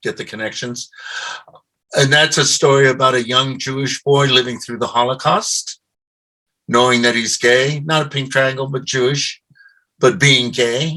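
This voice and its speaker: This man's tone is bright and sharp at a medium pitch. He keeps a moderate pace and fairly even intonation. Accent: American. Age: 70s. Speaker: military veteran and author. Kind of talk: interview.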